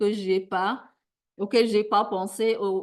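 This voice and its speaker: Against a quiet background, a woman of medium pitch speaks at a very slow pace with fairly even intonation. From Sudan. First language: a Sudanese language (speaking French). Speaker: academic plenary speaker. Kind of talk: conference Q&A answer. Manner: halting.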